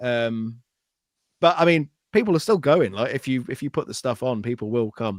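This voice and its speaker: A man with a North Welsh accent speaks at a medium pitch and a moderate pace. His intonation is lively, and the very clean recording has a silent background. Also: dry, close sound with no echo. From North Wales (Anglesey). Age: 40s. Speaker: effects pedal builder. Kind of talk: casual chat.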